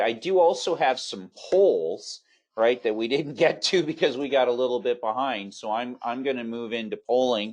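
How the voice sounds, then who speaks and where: Over a quiet background, a man speaks at a fairly slow pace in an ordinary speaking voice with a medium pitch. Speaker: webinar moderator. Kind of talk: webinar moderation. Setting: online webinar.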